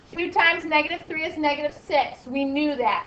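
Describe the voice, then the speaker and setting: A woman talks amid noticeable background noise. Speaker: math teacher. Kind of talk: classroom lecture. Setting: classroom with students.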